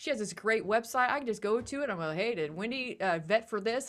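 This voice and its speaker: With a Midwestern accent, a woman speaks at a very fast pace. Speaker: podcast co-host, educator. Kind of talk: podcast interview.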